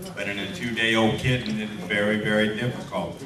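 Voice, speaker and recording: The speech moves at a fairly quick pace over noticeable background noise, with audible echo from the room. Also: man. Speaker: veterinary lecturer. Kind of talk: lecture.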